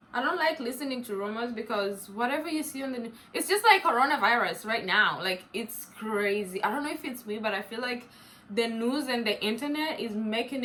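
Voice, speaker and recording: Over noticeable background noise, a woman with an African accent speaks in an animated tone at a moderate pace and a fairly high pitch. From East Africa, grew up in Uganda. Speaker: YouTuber. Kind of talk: casual chat.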